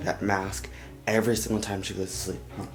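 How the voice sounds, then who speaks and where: Noticeable background noise and audible room echo surround this man's voice. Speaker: vlogger, young father. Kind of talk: casual vlog. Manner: quiet, talking low.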